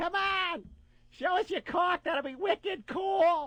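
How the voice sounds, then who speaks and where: A put-on character voice at an extremely high pitch, in a Boston accent, at a fairly slow pace. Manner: brash, teasing.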